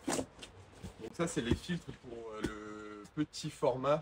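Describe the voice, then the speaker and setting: A man's fairly low voice, relaxed in tone, with ordinary pitch variation. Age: 20s. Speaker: window cleaning entrepreneur and YouTuber. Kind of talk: unboxing video, casual talk to camera. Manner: relaxed, with filler hesitations.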